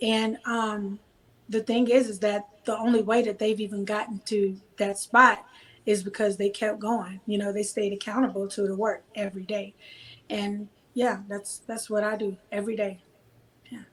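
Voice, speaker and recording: A woman's fairly high voice with a slight Southern US accent and monotone, flat intonation. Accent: slight Southern drawl. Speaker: gospel singer and songwriter. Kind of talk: casual interview.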